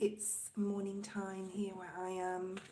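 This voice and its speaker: Over noticeable background noise, a woman talks at a very slow pace in a medium pitch with monotone, flat intonation. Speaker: livestreamer doing readings for donors. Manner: quiet, not loud.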